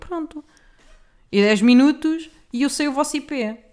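A woman with a European Portuguese accent speaks in a high-pitched, animated tone. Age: 20s. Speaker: podcaster. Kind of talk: casual monologue.

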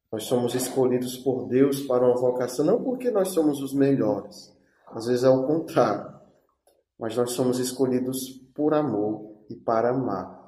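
At a fairly slow pace, a man with a medium pitch and ordinary pitch variation speaks amid audible room echo. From Brazil, Ceará (Sobral). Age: 20s. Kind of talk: testimony.

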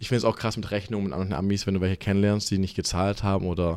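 A man's fairly low voice at a very fast pace on a very clean recording with a silent background. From Germany, Stuttgart. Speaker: gym employee. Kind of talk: casual chat.

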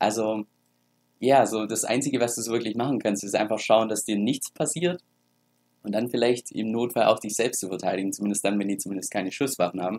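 With an unremarkable speaking voice, a man talks at a fairly quick pace in a medium pitch, showing ordinary pitch variation. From Germany. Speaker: crypto YouTuber. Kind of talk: casual vlog talk.

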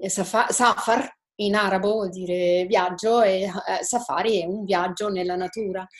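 A woman with a normal speaking voice, medium pitch, fairly even intonation, and a fairly slow pace. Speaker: estate owner presenting her project. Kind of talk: webinar participant explaining her project. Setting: video call.

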